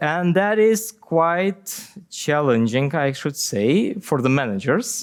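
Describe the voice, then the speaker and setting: A man speaks with a non-native accent. His intonation is lively. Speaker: software company CTO and conference speaker. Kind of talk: conference Q&A. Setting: conference stage with audience. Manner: halting, many fillers and repetitions.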